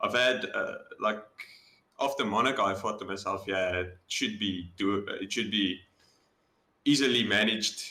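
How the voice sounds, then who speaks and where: A man with a South African accent, medium pitch, a bright, sharp tone, fairly even intonation and a fairly slow pace. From South Africa, Boksburg near Johannesburg. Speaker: sim racing driver. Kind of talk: interview.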